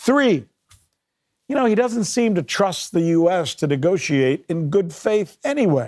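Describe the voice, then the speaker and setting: An animated, high-pitched man with an American accent, his pitch swinging very wide at a fairly slow pace, on a very clean recording with a silent background. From United States. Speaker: news show host. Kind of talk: political commentary and interview. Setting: studio.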